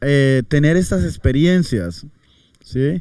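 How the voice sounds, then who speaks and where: Very slowly, a man speaks in a dark, mellow tone at a medium pitch, with lively intonation. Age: young. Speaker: pastor. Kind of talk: interview.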